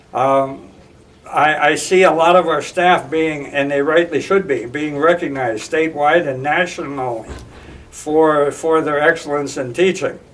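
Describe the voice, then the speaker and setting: A man with an American accent speaks at a fairly slow pace in a fairly high voice, his intonation fairly even, with noticeable background noise behind him. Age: 70s. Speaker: school board candidate. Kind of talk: interview. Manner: halting, many repetitions and fillers.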